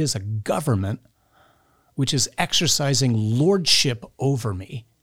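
Somewhat breathy, a man's voice moves with lively intonation. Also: very clean recording, silent background. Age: 50s. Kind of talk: interview.

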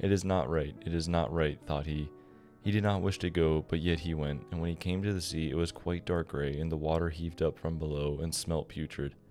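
Music plays in the background as a man talks. His pitch is very deep and low, with fairly even intonation. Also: fairly quick pace. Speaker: bedtime story narrator.

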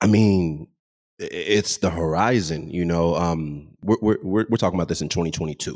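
A man's very deep, low voice with an American accent, in a very clean recording with a silent background. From Texas, Dallas. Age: 20s. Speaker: DJ and entrepreneur. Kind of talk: interview.

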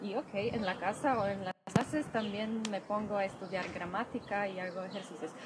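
A woman's medium-pitched voice in a Polish accent, fairly even intonation, and noticeable background noise. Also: moderate pace. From Poland (Masuria). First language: Polish (speaking Spanish). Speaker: Polish language teacher. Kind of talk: interview. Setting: outdoors. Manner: soft-spoken.

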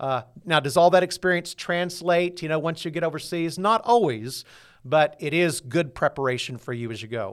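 Speaking at a moderate pace with lively intonation, this man has a fairly high pitch and an ordinary speaking voice. The recording is very clean with a silent background. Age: 60s. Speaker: pastor. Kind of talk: interview.

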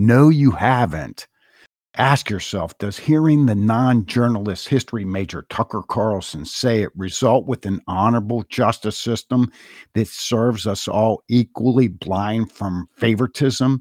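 A man's normal speaking voice, medium in pitch with ordinary pitch variation, in a very clean recording with a silent background. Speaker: podcast host. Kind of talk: scripted commentary.

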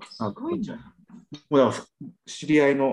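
A man's voice with vocal fry. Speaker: podcast panelist. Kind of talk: casual chat. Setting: video call.

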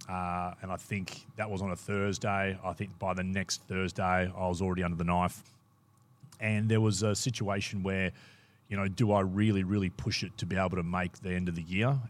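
Very deep and low, a man's voice moves at a fairly quick pace in an Australian accent, recorded very cleanly against a silent background. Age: 40s. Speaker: former footballer. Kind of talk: casual chat. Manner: animated.

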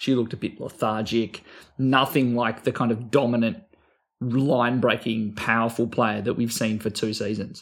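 Monotone, flat intonation at a moderate pace in an Australian accent. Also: man, medium pitch for a man. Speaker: fantasy sports podcast co-host. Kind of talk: casual chat.

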